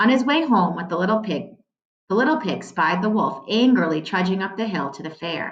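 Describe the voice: This is plain reading aloud. Behind it, the background is quiet.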